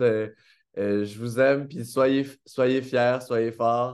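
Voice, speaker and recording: Over a quiet background, a man with a Quebec accent speaks very slowly with fairly even intonation. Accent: Québécois French. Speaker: author. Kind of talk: acceptance speech. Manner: hesitant, many fillers. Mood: warm, grateful, smiling. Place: home room. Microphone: webcam.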